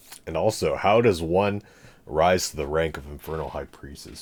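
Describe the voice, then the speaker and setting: At a moderate pace, a man is talking. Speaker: streamer and lecture series host. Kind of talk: casual livestream chat. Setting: livestream. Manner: rambling, casual, not enunciated.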